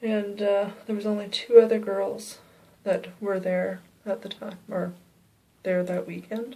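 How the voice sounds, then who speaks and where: With a Canadian accent, a woman of medium pitch speaks fairly slowly in a dark, mellow, monotone voice with flat intonation, leaving long, frequent pauses. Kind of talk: personal ghost story told to camera. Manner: whispered.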